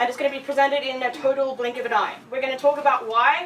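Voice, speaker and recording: A woman with an Australian accent, noticeable background noise. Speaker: audio designer and conference speaker. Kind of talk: presentation. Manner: casual, filler-heavy.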